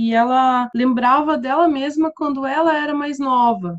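A woman speaks with a high pitch. Her voice has ordinary pitch variation. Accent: Curitiba. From southern Brazil, Curitiba. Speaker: English teacher and teacher trainer. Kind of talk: casual interview.

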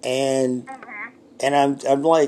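Against noticeable background noise, a man with a fairly high pitch talks at a very slow pace. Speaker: sports radio host. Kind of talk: radio dj patter, brisk broadcast-style sports host spiel with ad reads and call-in plugs. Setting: studio at home.

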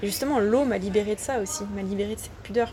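Over noticeable background noise, a woman of medium pitch speaks at a moderate pace with ordinary pitch variation. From France, Ardèche. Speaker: underwater photographer. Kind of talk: interview. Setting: outdoors.

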